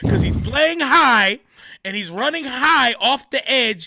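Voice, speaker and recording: Speaking at a fairly slow pace, a man uses a raised, projected voice with lively intonation. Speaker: podcast co-host. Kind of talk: casual sports podcast discussion. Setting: podcast recording. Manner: loud; animated.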